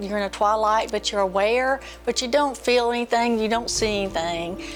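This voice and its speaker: Music plays in the background as a woman with an American accent speaks at a moderate pace, her fairly high pitch varying in an ordinary way. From North Carolina, Raleigh. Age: 60s. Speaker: patient. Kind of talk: testimony.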